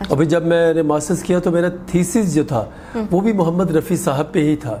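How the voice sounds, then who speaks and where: Through noticeable background noise, a man with high pitch speaks with ordinary pitch variation. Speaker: singer. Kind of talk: interview answer.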